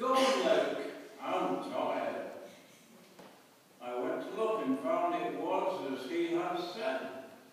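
Amid light background noise and strong room echo, a man with a high pitch speaks at a very slow pace with very wide pitch swings. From England, East Midlands. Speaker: poetry reader at church event. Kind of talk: poetry reading. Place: church. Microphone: camera far.

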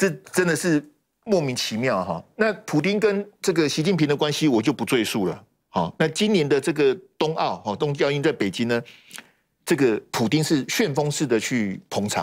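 The voice carries vocal fry, its pitch swinging very widely. It moves at a moderate pace over a quiet background. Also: man, fairly high pitch for a man. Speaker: political commentator. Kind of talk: heated debate. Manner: animated. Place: studio. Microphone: lapel.

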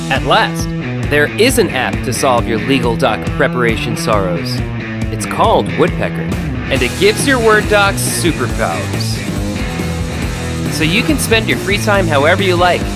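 Over loud music in the background, a man speaks at a moderate pace with long, frequent pauses, the sound dry with no echo. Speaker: voice actor. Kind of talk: software app commercial read. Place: studio.

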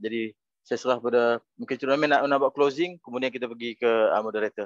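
A man speaks at a very fast pace with a medium pitch and fairly even intonation, the sound dry with no echo over a quiet background. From Malaysia. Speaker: academy representative; webinar host or moderator. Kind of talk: closing remarks. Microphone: video call.

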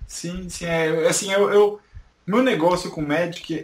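A man's high-pitched voice with ordinary pitch variation, over noticeable background noise. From Brazil, São Paulo. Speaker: YouTuber. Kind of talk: interview.

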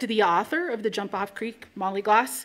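A woman talks at a fairly quick pace. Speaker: nonprofit executive director, event host. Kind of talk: welcome and introduction to live event. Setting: stage with audience. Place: hall. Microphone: podium.

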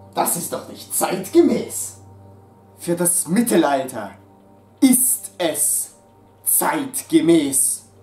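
Music plays in the background as a man speaks, with audible room echo. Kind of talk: acted comedy sketch dialogue. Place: home room. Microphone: camera far.

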